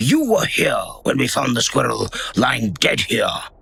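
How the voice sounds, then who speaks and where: A man uses a raspy, put-on character voice at a moderate pace with very even loudness. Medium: audio drama. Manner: stern, accusing.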